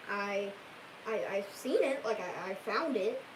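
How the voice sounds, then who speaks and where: A woman is talking, and noticeable background noise is present. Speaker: YouTuber recording a cat video. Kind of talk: casual livestream chat with script takes. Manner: halting, repeats words.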